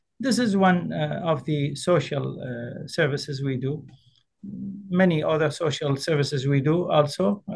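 Over music in the background, a man speaks fairly slowly with a fairly high pitch and ordinary pitch variation. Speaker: Islamic scholar, representative of a grand ayatollah. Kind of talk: interview.

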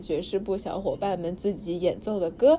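Noticeable background noise sits behind a woman. She speaks with an energetic tone at a moderate pace. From Suzhou. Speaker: student podcast host. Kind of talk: reading aloud diary; casual chat.

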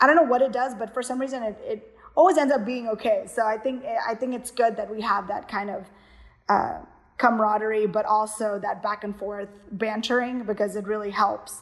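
A woman with an American accent and an ordinary speaking voice talks at a fairly quick pace, her fairly high pitch showing ordinary pitch variation. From US, Houston, Texas (Kerala Indian family). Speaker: dance company director and choreographer.

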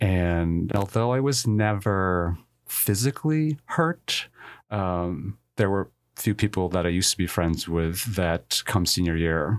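A man with a very deep, low pitch and an American accent, fairly slow, with ordinary pitch variation on a very clean recording with a silent background. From New Jersey, Filipino family. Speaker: college admissions director. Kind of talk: interview.

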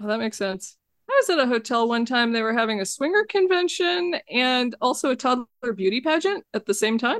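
A woman speaks in a high pitch at a fairly quick pace. Her pitch swings very widely. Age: 40s. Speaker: video game developer. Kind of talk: casual chat.

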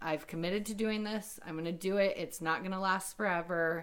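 A woman talks at a moderate pace with a medium pitch. Her pitch moves in an ordinary way. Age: 30s. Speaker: bodybuilding bikini competitor. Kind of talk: interview.

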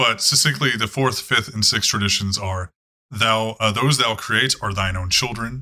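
A quiet background behind reading aloud in a natural voice, pitch varying in an ordinary way

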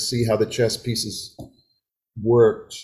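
A somewhat breathy man speaks with an American accent. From US Midwest (Wisconsin). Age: 70s. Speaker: folk singer. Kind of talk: casual interview. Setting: home video call.

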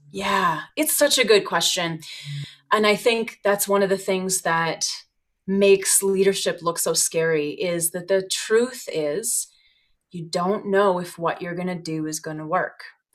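A woman with an unremarkable speaking voice, medium pitch, ordinary pitch variation, a fairly slow pace and big swings in loudness. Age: 40s. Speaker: yoga teacher and business owner. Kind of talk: casual interview chat.

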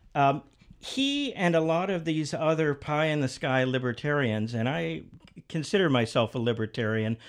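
A man with a fairly high voice and lively intonation speaks on a very clean recording with a silent background. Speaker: think tank executive, podcast host. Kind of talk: heated debate. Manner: combative, interrupting, emphatic.

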